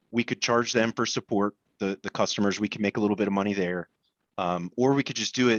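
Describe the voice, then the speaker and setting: A man's fairly low voice at a very fast pace, dry and close with no echo, against a quiet background. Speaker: MSP business owner. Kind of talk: panel discussion. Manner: halting.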